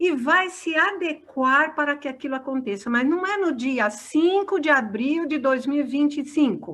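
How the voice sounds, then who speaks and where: Bright and sharp in tone, the voice moves at a fairly slow pace with lively intonation. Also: woman. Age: 60s. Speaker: spiritist lecturer. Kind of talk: discussion Q&A.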